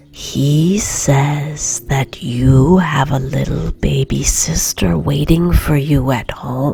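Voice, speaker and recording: A soft-spoken woman with a very deep, low pitch talks at a very slow pace with lively intonation and hardly any pauses, over noticeable background noise. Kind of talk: bedtime story reading. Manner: soft-spoken, quiet.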